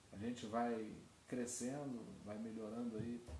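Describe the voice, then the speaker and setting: A soft-spoken voice comes through with audible room echo. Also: man. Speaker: pastor. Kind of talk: sermon. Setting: online livestream. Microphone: too quiet, basic equipment.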